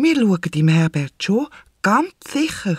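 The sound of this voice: A man uses a put-on character voice, high-pitched and slow. It has big pitch swings, a slightly mellow tone and a slightly husky edge. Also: very clean recording, silent background.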